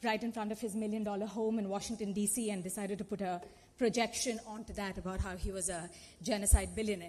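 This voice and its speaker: A woman's somewhat breathy voice at medium pitch, with a Telugu accent and a fairly quick pace. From India (Telugu-speaking). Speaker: activist and conference panelist. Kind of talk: panel talk. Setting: conference auditorium. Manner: animated.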